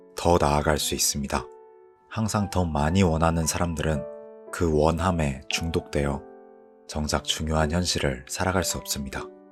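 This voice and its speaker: Music plays in the background as a man talks. His voice is very deep and low, with a calm, soothing tone. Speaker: healing radio host. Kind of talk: motivational quote and essay reading.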